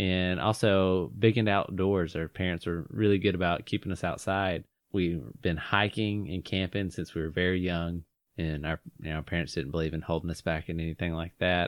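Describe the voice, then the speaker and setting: Here a man speaks with a Southern US accent. His very deep, low voice moves at a moderate pace. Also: fairly even intonation. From North Georgia. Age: 20s. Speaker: podcast host. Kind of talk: casual chat.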